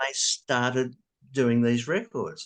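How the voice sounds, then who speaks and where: Against a quiet background, a man talks at a medium pitch with an Australian accent. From Australia, New South Wales. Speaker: square dance caller. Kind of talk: interview. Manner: slightly impaired articulation after stroke.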